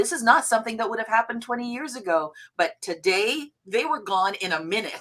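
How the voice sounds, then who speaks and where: In a plain, everyday voice, a woman talks at a fairly quick pace with a fairly high pitch. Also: lively intonation. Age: 60s. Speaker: founder of a screen industry organization. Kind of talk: panel discussion.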